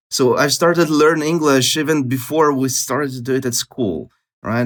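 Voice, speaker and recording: A man talks at a moderate pace with a Russian accent. The recording is very clean, with a silent background. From Latvia, Russian-speaking city. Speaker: polyglot, language expert. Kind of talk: podcast interview.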